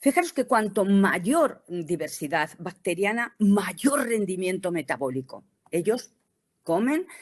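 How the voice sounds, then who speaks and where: Speaking very slowly, a woman lets her pitch swing very widely. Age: 60s. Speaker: cosmetics company educator. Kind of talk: presentation lecture. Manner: halting, many fillers.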